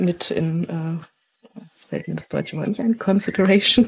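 A woman speaks at a very slow pace in a fairly low pitch. Her voice is somewhat breathy, with ordinary pitch variation. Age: 30s. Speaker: educator. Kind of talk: interview conversation.

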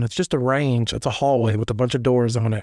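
A man with a Tennessee accent talks at a moderate pace with ordinary pitch variation, recorded very cleanly against a silent background. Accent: Southern US (Tennessee). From US South (Middle Tennessee). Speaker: former prisoner telling his story. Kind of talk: personal storytelling interview.

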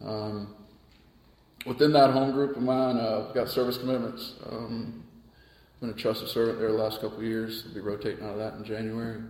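A man with an American accent at a medium pitch, fairly quick pace, monotone, flat intonation and big swings in loudness, amid noticeable background noise and audible room echo. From US South, Charleston, South Carolina. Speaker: recovering alcoholic sharing his story. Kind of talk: personal testimony in a casual interview. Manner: halting, many fillers and repeated words.

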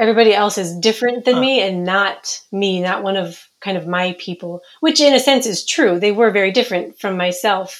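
With an American accent, a woman uses a normal speaking voice. Her pitch is medium, with ordinary pitch variation. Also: fairly quick pace. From Minnesota. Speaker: author. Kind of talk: interview.

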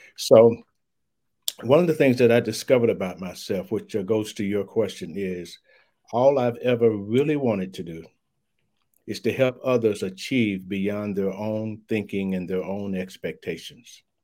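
With an American accent, a man speaks at a moderate pace in a fairly low pitch and a dark, mellow tone with ordinary pitch variation, on a very clean recording with a silent background. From US South, Louisville, Kentucky. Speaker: diversity consultant. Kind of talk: interview.

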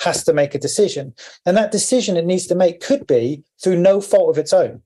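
The speaker uses a southern English accent and talks at a fairly quick pace. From Cornwall, England. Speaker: engineering professor and tech founder. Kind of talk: interview.

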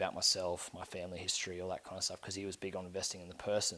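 With an Australian accent and a very deep, low pitch, a man speaks very fast in a monotone, flat intonation. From Brisbane, Queensland, Australia. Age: 20s. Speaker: rugby union player. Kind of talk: podcast interview.

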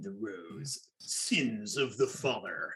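In a put-on character voice, a man speaks at medium pitch and a fairly slow pace. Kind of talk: show title announcement. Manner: crazy, over-the-top dramatic.

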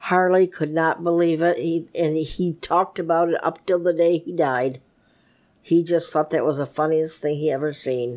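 An unremarkable speaking voice at a moderate pace, fairly even in intonation, over a quiet background. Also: woman, fairly low pitch for a woman. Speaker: grandmother. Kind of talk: casual interview.

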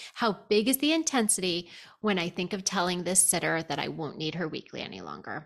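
Vocal fry runs through fairly quick speech with ordinary pitch variation, in a very clean recording with a silent background. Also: woman, fairly low pitch for a woman. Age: 50s. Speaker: therapist. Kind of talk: casual chat.

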